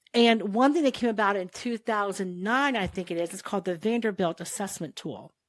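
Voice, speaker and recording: On a very clean recording with a silent background, a woman with an unremarkable speaking voice talks at a fairly quick pace with hardly any pauses, medium pitch and ordinary pitch variation. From Ohio, US. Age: 60s. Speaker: nurse and airway researcher. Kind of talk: casual interview chat.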